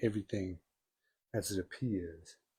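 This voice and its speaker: Speaking at a fairly slow pace, a man sounds somewhat breathy. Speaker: spiritual group speaker. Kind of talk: spiritual talk. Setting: in-person group streamed online. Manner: soft-spoken. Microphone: handheld mic, inaudible when held far.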